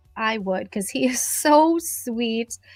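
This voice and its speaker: A high-pitched woman's voice, very slow in pace, with lively intonation and music in the background. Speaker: beauty industry professional. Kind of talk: livestream chat. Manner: hesitant, many fillers.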